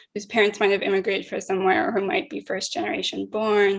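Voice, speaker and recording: A woman at medium pitch has an unremarkable speaking voice with ordinary pitch variation. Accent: American. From Utah. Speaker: conference moderator. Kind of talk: panel interview.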